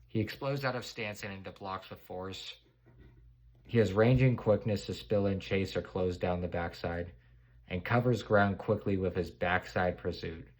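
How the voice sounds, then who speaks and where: On a very clean recording with a silent background, a man with an unremarkable speaking voice talks at a moderate pace, his pitch fairly low with ordinary variation and his loudness swinging widely. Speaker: NFL draft commentator. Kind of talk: solo draft prediction commentary.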